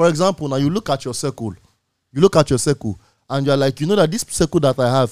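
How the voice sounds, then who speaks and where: A man with a Nigerian accent, fairly high-pitched with ordinary pitch variation, on a very clean, dry, close recording with a silent background and no echo. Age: 20s. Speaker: radio host. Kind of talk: casual chat. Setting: studio.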